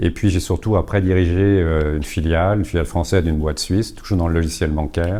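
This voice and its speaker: A man's very deep, low voice with a dark, mellow tone and ordinary pitch variation. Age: 60s. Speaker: therapist and coach, former bank executive. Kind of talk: talk to a live audience. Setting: conference room with audience. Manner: hesitant, with many fillers.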